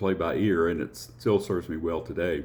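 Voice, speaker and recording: A man's very deep, low voice in a Southern US accent, at a fairly quick pace. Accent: Southern twang. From US South, Appalachian North Alabama. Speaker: church musician and choir director. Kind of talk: personal introduction talk. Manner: hesitant, many fillers.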